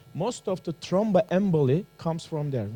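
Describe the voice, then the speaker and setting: A man's voice with ordinary pitch variation, music in the background. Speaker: doctor. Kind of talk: guided exercise. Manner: animated.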